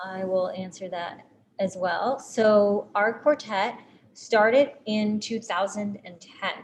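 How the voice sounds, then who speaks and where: Delivered at a very slow pace, the voice shows big swings in loudness and ordinary pitch variation. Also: woman, medium pitch for a woman. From Puerto Rico. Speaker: string quartet musician. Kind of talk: live-streamed Q&A.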